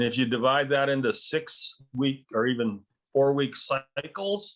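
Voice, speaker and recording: Using a plain, everyday voice, a man speaks at a fairly slow pace and fairly high pitch, with ordinary pitch variation and very even loudness. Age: 60s. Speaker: business advisor and trainer. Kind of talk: training session discussion.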